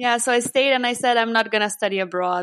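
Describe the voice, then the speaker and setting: Speaking at a fairly quick pace, a woman has a fairly high pitch and a Lithuanian accent. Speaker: customer support manager and happiness coach. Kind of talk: interview.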